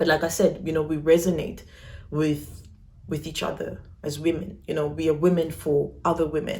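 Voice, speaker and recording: Her pitch very deep and low, a woman speaks at a moderate pace with vocal fry, in audible room echo. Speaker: YouTuber. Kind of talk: personal vlog. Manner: casual.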